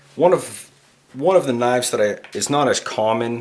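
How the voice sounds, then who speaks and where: A man with a Canadian accent speaks with ordinary pitch variation over noticeable background noise. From Canada. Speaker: knife reviewer, YouTuber. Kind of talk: product review. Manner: casual, many fillers (uh, um).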